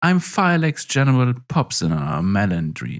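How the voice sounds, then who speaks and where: At a moderate pace, the speaker uses a sing-song put-on character voice with very wide pitch swings. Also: woman. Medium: read story. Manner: breezy, old-fashioned jolly phrasing.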